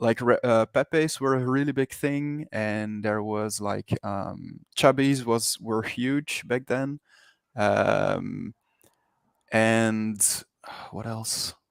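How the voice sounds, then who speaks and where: A man with a Flemish accent speaks very slowly at a medium pitch, his voice dry and close with no echo on a very clean recording over a silent background. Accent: Belgian Dutch-speaker. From Belgium. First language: Dutch. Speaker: 3D NFT artist. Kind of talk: interview. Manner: hesitant, many fillers and repetitions.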